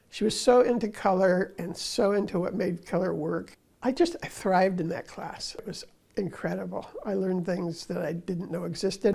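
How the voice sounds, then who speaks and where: Dark and mellow in tone, a woman speaks at a medium pitch with vocal fry. Her pace is moderate and her intonation fairly even. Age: 80s+. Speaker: artist. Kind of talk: interview testimony.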